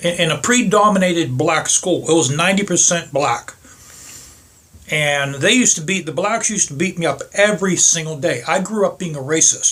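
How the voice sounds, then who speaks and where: A man with an American accent speaks at a moderate pace, his pitch high for a man. His pitch varies in an ordinary way over noticeable background noise. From Pittsburgh, US. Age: 60s. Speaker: motorcycle vlogger. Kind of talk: casual monologue vlog. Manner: halting, repetitive.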